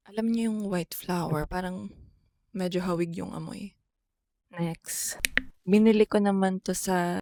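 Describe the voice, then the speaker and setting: A soft-spoken woman with a dark, mellow tone talks at a fairly slow pace, leaving long, frequent pauses. Her intonation is fairly even, and the sound is dry and close with no echo. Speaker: travel vlogger. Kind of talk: casual travel vlog.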